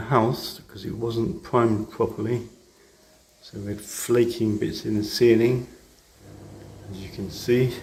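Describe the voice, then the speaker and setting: A man's somewhat breathy, dark, mellow voice at medium pitch, with a British accent, fairly even intonation and a fairly slow pace. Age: 60s. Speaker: retired DIY vlogger. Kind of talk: casual DIY vlog narration.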